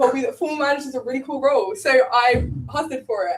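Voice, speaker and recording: Talking at a fairly quick pace, a woman with an English accent has a high voice. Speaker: student election candidate. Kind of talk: election hustings speech.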